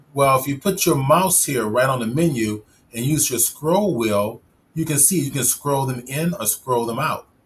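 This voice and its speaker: Here a man speaks at a fairly high pitch, somewhat breathy. His pace is moderate and his pitch variation ordinary. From Chicago. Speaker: 3D software instructor and live stream host. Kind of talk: tutorial. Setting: live stream.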